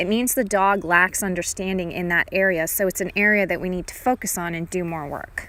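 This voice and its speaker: Using an ordinary speaking voice at a medium pitch, a woman talks at a fairly quick pace with hardly any pauses and fairly even intonation. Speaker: dog trainer. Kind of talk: instructional narration over a training session.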